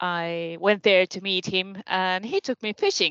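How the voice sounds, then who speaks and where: With a Finnish accent, the speaker goes at a fairly slow pace over a quiet background, with a dry, close sound and no echo. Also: woman. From Finland. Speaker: senior lecturer. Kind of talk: casual chat. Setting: video call.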